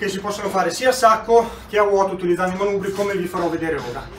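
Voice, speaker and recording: A man at a very fast pace, with noticeable background noise. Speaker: boxing trainer. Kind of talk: tutorial. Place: garage. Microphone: camera far.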